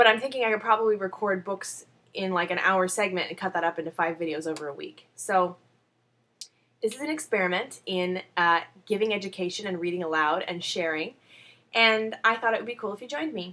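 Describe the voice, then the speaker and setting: Her tone is bright and sharp at a medium pitch, and she is a woman speaking at a fairly quick pace. Her pitch varies in an ordinary way. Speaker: video blogger. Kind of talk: casual chat. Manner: fast; animated.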